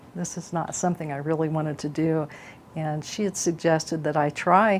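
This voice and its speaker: In a normal speaking voice, a woman talks at a moderate pace with a fairly low pitch. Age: 60s. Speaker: patient giving testimonial. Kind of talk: testimony.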